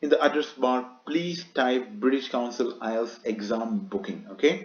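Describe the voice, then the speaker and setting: The speaker uses lively intonation in a Keralan accent. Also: man. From Kerala, India. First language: Malayalam. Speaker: YouTuber, exam tutor. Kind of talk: tutorial. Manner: casual, conversational.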